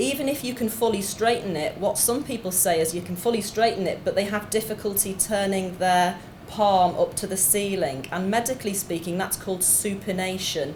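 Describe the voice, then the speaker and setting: Someone with a Liverpool accent talks at a fairly quick pace with hardly any pauses and ordinary pitch variation, with noticeable background noise and audible room echo. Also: woman, medium pitch for a woman. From Liverpool, England. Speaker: doctor, clinical geneticist. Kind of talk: lecture. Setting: conference stage with audience.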